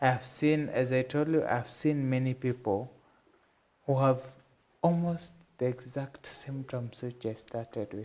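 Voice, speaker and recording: In a medium pitch with a dark, mellow tone, a man talks at a fairly slow pace with fairly even intonation and long, frequent pauses. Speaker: patient advocacy foundation head. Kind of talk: TV interview. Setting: TV studio. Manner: halting.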